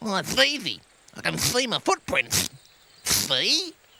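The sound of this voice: A cartoonish character voice speaks at a fairly slow pace with a fairly high pitch.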